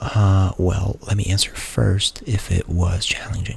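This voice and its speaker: Noticeable background noise behind a man's fairly low voice at a fairly slow pace. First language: Portuguese. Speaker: ASMR creator. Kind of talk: ASMR Q&A. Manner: soft-spoken; halting.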